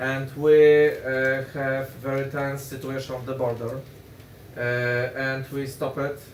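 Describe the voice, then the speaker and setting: A man with a Polish accent speaks very slowly in a monotone, flat voice at medium pitch, with audible room echo and noticeable background noise. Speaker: politician. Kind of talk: panel discussion. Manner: halting.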